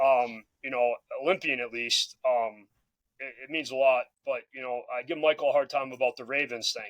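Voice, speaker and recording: The sound is dry and close with no echo. A man with an American accent speaks at medium pitch with fairly even intonation. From Massachusetts. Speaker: former athlete, football coach. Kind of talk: casual chat.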